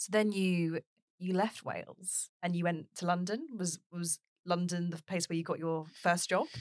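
At a moderate pace, a woman speaks in a normal speaking voice, fairly low in pitch with fairly even intonation, in a dry, close sound with no echo. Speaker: podcast host. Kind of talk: interview conversation.

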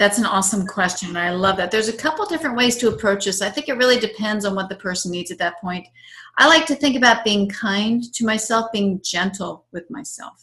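A woman's fairly high, bright, sharp voice comes through in an enthusiastic tone. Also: ordinary pitch variation. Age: 50s. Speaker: tai chi instructor and nutrition therapist. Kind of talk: interview; guided breathing exercise.

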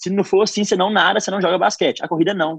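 A man with a high pitch and an energetic tone comes through with a dry, close sound with no echo. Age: 20s. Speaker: running content creator and entrepreneur. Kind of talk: radio interview.

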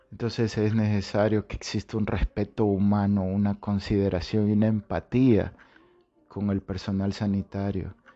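A man talks at a moderate pace in a fairly low voice, monotone and flat. Music plays in the background. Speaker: health podcast host. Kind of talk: monologue podcast. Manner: halting with repetitions.

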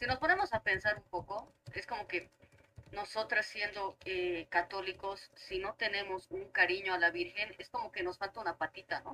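This woman has a plain, everyday voice, speaking at a moderate pace with medium pitch and fairly even intonation. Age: 30s. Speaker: teacher. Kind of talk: casual chat.

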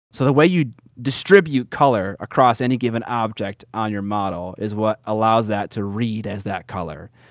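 With an American accent, a man talks at a moderate pace in an ordinary speaking voice, his pitch fairly low with ordinary variation, on a very clean recording with a silent background. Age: 30s. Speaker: miniature painting YouTuber. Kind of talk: casual interview chat.

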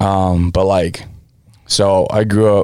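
This man has a very deep, low voice with a dark, mellow tone. He speaks with an American accent. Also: very clean recording, silent background. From California, US (born American Samoa). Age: 20s. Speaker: podcast co-host. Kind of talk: casual chat.

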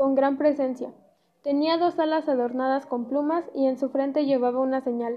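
A woman's high-pitched voice at a moderate pace, flat and monotone in intonation. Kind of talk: dramatic storytelling narration of a legend. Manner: measured, solemn storyteller pace.

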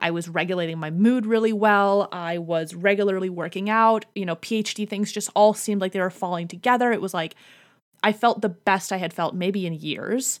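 An unremarkable speaking voice moves at a moderate pace with fairly even intonation on a very clean recording with a silent background. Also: woman, medium pitch for a woman. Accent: American. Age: 20s. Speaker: psychology PhD candidate and podcaster. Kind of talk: casual chat.

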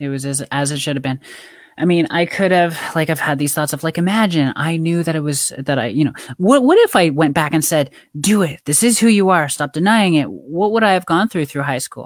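With a plain, everyday voice, a woman speaks at a fairly low pitch and a fairly quick pace, her intonation lively. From rural Canada. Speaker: pickleball player and life coach. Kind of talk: interview.

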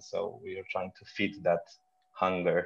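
The speaker has a Romanian accent and talks at a moderate pace. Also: man. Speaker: film festival director. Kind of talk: interview. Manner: halting, frequent repetitions.

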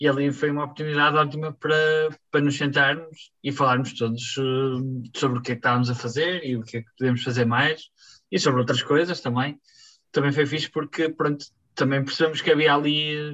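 At a fairly quick pace, a man with a fairly high pitch and fairly even intonation speaks in an unremarkable speaking voice. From Portugal, Barcelos. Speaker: musician. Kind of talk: interview.

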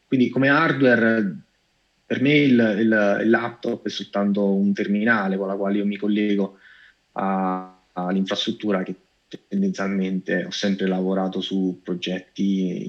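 This is a man with an ordinary speaking voice and a fairly low pitch. He talks at a fairly slow pace with fairly even intonation. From Italy, Cassino (Lazio). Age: 30s. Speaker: AI director and data scientist. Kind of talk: interview.

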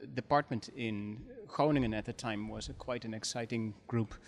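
A man with a Dutch accent talks at a medium pitch and a fairly slow pace, his intonation fairly even. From Netherlands. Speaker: history professor. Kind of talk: interview.

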